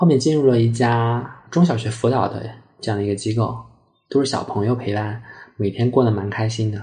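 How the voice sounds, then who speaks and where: A man talks at a fairly quick pace and medium pitch with fairly even intonation. Audible room echo surrounds his voice. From Sichuan, Chengdu. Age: 20s. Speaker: art therapy analyst, former teacher. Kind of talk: personal storytelling interview.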